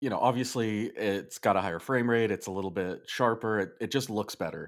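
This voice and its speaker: This man has an ordinary speaking voice at a medium pitch and a moderate pace. The recording is very clean, with a silent background. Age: 30s. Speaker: game reviewer, podcast co-host. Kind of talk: casual chat.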